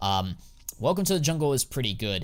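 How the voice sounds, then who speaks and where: In a very clean recording with a silent background, a man races along at a very fast pace, animated and swinging very widely in pitch. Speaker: CS2 skin investing streamer. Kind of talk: live stream chat.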